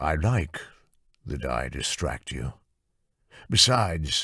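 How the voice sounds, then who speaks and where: A man puts on a character voice that is very deep and low. His pitch swings very widely. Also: fairly slow pace. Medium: read story. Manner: smooth, self-assured.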